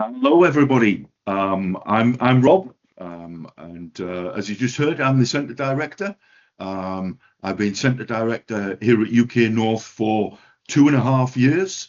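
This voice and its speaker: A man with a northeast English accent at a medium pitch, fairly slow, with lively intonation and big swings in loudness. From northeast England. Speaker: education centre director. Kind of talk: webinar presentation. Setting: online webinar. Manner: hesitant, many fillers.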